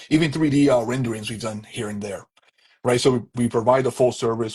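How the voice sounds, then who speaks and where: A man with a medium-pitched, somewhat breathy voice talks at a very fast pace. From Canada, Toronto area. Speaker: architectural designer, permit firm owner. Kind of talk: interview on live stream. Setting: social media live video.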